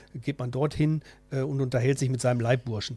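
This man has a Ruhr accent. His pitch is medium and his tone dark and mellow. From Ruhr area, Essen. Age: 50s. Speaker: student fraternity member. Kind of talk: radio interview.

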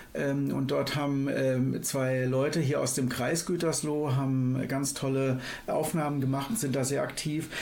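Noticeable background noise and audible room echo surround the recording. A man speaks at a moderate pace with a fairly high pitch. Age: 50s. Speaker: climate activist. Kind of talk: radio interview. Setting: studio. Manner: hesitant with fillers.

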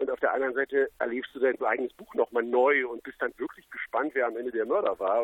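This man speaks at a very fast pace. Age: 30s. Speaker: crime novelist and TV journalist. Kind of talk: interview. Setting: phone call.

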